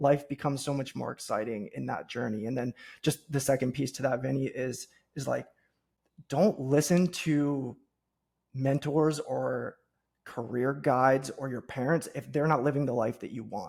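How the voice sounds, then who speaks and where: In an American accent, a man speaks at a medium pitch and a moderate pace, his intonation fairly even. There is vocal fry in his voice, and the recording is very clean with a silent background. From US Midwest, Cincinnati, Ohio. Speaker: podcast host and business coach. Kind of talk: podcast interview.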